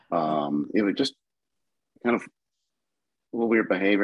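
Recorded with a dry, close sound with no echo, a man with a fairly low pitch speaks with lively intonation. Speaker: caller.

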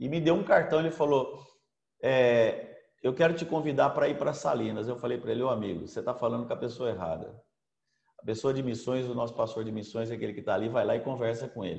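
A man with a medium-pitched voice talks at a very fast pace, his pitch varying in an ordinary way, his tone somewhat breathy, with audible room echo around him. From Brazil, São Paulo state (Americana). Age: 60s. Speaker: apostle and pastor, former businessman. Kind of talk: preaching talk. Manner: halting, frequent fillers.

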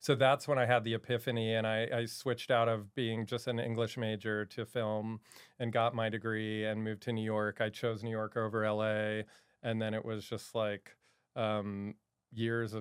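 A man with an American accent at a moderate pace, medium pitch, and monotone, flat intonation. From Maryland, US. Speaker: film writer-director. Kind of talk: casual interview.

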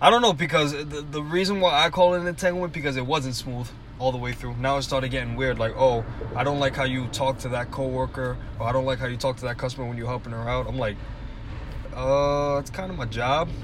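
Talking very fast, a man with a medium pitch and ordinary pitch variation is heard amid noticeable background noise and audible room echo. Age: 20s. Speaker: podcast co-host. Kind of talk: casual chat.

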